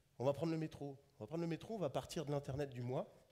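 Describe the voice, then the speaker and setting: Very fast, somewhat breathy speech from a man, fairly high in pitch yet dark and mellow in tone, with lively intonation. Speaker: conference speaker on digital tourism. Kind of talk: conference talk.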